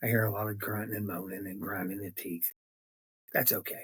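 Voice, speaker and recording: With an American accent, a man speaks in a fairly low, somewhat breathy voice. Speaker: political podcaster. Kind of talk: political commentary monologue. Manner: halting; animated.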